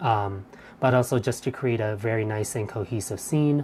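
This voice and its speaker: A soft-spoken woman with a very deep, low pitch, ordinary pitch variation and a fairly slow pace. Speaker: craft instructor streaming live. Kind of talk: live stream craft demo chat. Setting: live stream. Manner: hesitant, many fillers.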